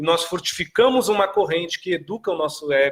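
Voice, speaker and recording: Lively intonation carries a tone that is bright and sharp. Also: man. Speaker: spiritual teacher answering viewer questions. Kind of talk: live stream talk. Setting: live stream.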